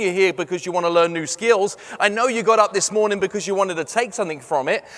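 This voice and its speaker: A man with an English accent talks fairly quickly in a high, animated voice with ordinary pitch variation. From London, England. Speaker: sales trainer and motivational speaker. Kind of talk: keynote talk. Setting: stage with audience.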